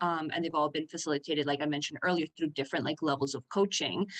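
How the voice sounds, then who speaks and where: Her intonation fairly even, a woman speaks with a Spanish accent. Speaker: business coaching client. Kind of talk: podcast interview.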